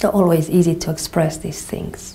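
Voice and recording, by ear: In a Portuguese accent, a woman speaks at a low pitch with a dark, mellow tone, and room echo is audible.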